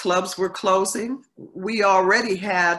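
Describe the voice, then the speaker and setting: Against a quiet background, a woman talks at a very slow pace with fairly even intonation. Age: 60s. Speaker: singer; interviewee. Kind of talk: interview. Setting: video call. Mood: reflective, calm. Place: home room. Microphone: video call.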